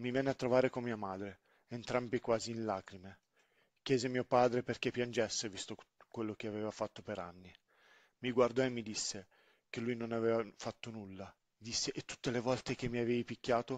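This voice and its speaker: Against a quiet background, a man speaks in a monotone, flat intonation at medium pitch, with long, frequent pauses and a dry, close sound with no echo. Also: fairly quick pace. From Sicily, then grew up in northern Italy. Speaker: storyteller, father. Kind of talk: personal testimony narration.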